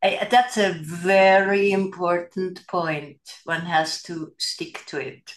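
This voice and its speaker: A woman talks at a very slow pace and medium pitch with fairly even intonation. Her loudness swings widely. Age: 70s. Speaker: fitness method founder. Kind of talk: casual interview chat. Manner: hesitant, many fillers.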